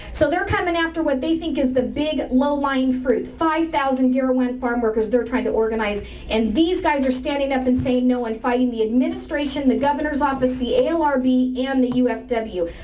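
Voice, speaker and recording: A woman speaks at a high pitch and a fairly quick pace. Audible room echo and noticeable background noise accompany her. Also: ordinary pitch variation. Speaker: political speaker. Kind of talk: speech to an audience. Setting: room with audience. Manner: fast.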